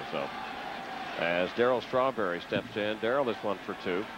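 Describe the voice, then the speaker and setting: An animated male voice at a fairly quick pace, with ordinary pitch variation and noticeable background noise. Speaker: play-by-play baseball announcer. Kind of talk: live commentary. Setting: stadium broadcast booth. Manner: fast, animated play-by-play call.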